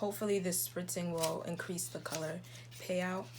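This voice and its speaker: A soft-spoken woman talks with lively intonation at a medium pitch. Audible room echo can be heard. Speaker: beauty YouTuber. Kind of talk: makeup tutorial.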